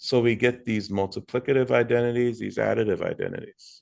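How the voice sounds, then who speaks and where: A man at a medium pitch, fairly quick in pace, with fairly even intonation. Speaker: middle school math teacher. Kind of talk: recorded tutorial lesson. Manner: verbose.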